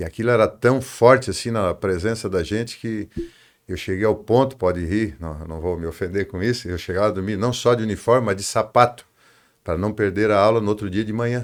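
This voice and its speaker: Speaking at a fairly quick pace with ordinary pitch variation, this is an unremarkable speaking voice on a very clean recording with a silent background. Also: man, fairly low pitch for a man. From southern Brazil, Tubarão, Santa Catarina. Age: 60s. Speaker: construction company executive. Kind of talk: interview.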